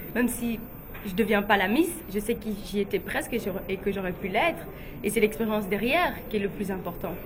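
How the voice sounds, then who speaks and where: With a West African accent, a woman talks with ordinary pitch variation over noticeable background noise. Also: medium pitch for a woman, fairly quick pace. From Guinea, then Belgium. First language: Fula (speaking French). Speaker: beauty pageant runner-up and model. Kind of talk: interview. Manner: hesitant, with many fillers.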